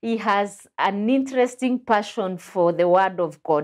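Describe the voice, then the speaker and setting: A woman's voice with ordinary pitch variation, over a quiet background. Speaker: pastor and show host. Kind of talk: religious teaching discussion. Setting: studio. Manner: animated. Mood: warm, smiling, welcoming. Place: studio. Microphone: lapel.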